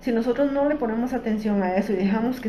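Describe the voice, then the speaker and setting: Noticeable background noise and audible room echo fill the clip. A woman talks at a fairly quick pace with a fairly high pitch. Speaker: psychologist giving a workshop talk. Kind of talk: educational workshop talk. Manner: hesitant, many fillers.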